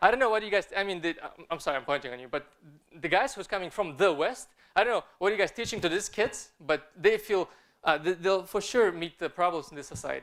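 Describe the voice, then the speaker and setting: Talking at a very fast pace, a man with a non-native accent uses a high voice with ordinary pitch variation. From Kazakhstan (Almaty). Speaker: film director and artist. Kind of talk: conference talk. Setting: stage with audience. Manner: halting, many fillers and repeated words.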